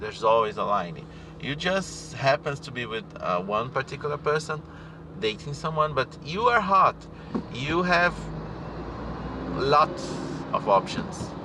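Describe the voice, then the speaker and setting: Over noticeable background noise, a man with a non-native accent talks at a fairly slow pace with long, frequent pauses, his fairly high voice making very wide pitch swings. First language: not English. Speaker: spiritual teacher. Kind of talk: casual monologue. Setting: in a car. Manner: halting. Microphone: poor audio.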